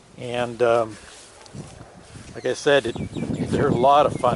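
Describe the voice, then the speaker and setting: Speaking at a fairly slow pace, a man with a medium pitch is heard over noticeable background noise. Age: 60s. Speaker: motorcycle vlogger. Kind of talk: product review vlog. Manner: halting, many fillers.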